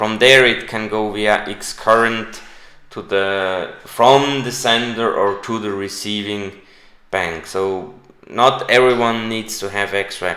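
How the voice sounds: A man talks slowly at a fairly low pitch, with ordinary pitch variation and a bright, sharp tone. Strong room echo surrounds him.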